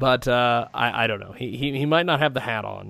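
Very clean and silent in the background, the recording carries a man at medium pitch with ordinary pitch variation. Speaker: radio host. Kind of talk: casual interview chat. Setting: live radio studio. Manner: halting, many fillers.

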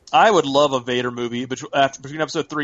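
Talking at a very fast pace, a man keeps his medium-pitched voice fairly even in intonation. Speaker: podcast co-host. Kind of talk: casual chat.

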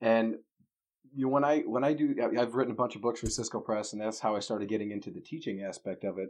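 This man speaks very fast at a medium pitch with ordinary pitch variation. The background is quiet. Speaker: technical evangelist. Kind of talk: casual chat. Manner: joking.

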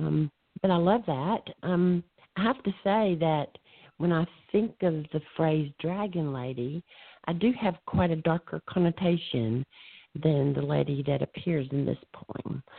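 Lively in intonation, a woman with a Southern US accent and a fairly low pitch speaks at a fairly slow pace. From US South. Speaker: poet. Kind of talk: casual chat. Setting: phone call.

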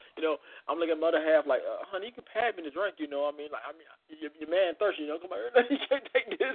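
A man with a high pitch rushes along at a very fast pace, his intonation lively and his loudness swinging widely. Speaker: podcast host. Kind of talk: casual chat.

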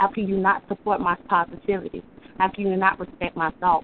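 A woman at a moderate pace and medium pitch, with fairly even intonation. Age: 30s. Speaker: caller and poet. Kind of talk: spoken word poetry. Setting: phone call.

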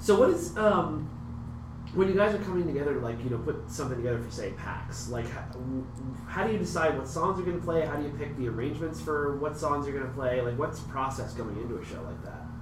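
A man with a fairly high pitch speaks at a very fast pace with lively intonation. Audible room echo and noticeable background noise fill the clip. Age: 40s. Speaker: podcast host. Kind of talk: casual interview chat. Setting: meeting room at a gaming convention.

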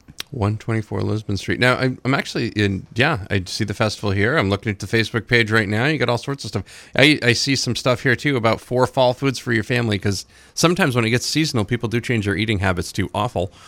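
A man with an ordinary speaking voice, medium pitch, ordinary pitch variation and hardly any pauses. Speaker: radio host. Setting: radio studio. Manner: brisk, upbeat, chatty, polished broadcaster delivery.

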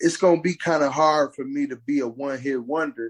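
A man's normal speaking voice with ordinary pitch variation at a moderate pace, in a dry, close sound with no echo. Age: 50s. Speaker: battle rapper. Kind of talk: casual chat.

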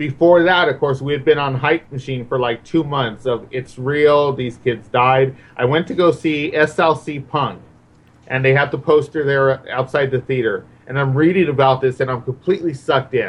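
Somewhat breathy, fairly high male speech at a moderate tempo, its pitch varying in an ordinary way. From Mexican-American neighborhood, US. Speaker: horror film guest. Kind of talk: casual chat.

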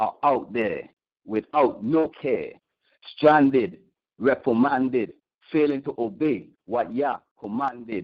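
Pausing long and often, a man with a fairly high pitch and ordinary pitch variation speaks at a very slow pace. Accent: Virgin Islands. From US Virgin Islands, St. Thomas. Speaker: caller, spoken word poet and musician. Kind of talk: spoken word poetry. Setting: phone call.

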